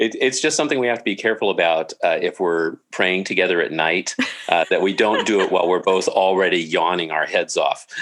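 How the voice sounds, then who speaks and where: Keeping his loudness very even, a man with an American accent talks at a fairly quick pace. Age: 60s. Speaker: judge and author. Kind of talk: interview.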